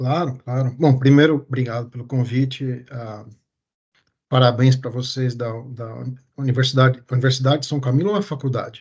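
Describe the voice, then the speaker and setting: A man speaks at a moderate pace and medium pitch in a somewhat breathy voice, with fairly even intonation and big swings in loudness. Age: 40s. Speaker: urologist and medical researcher. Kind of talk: interview. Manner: halting.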